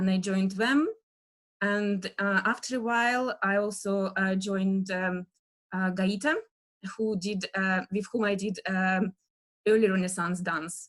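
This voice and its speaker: Speaking at a fairly slow pace, a woman has a Russian accent. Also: medium pitch for a woman, fairly even intonation. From Russia, Western Siberia near Novosibirsk. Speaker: dance historian lecturer. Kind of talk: lecture. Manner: halting, many fillers.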